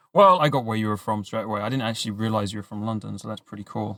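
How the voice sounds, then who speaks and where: A man with a British accent at a very fast pace. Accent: British, mistaken for Australian. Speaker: podcast host. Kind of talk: podcast interview.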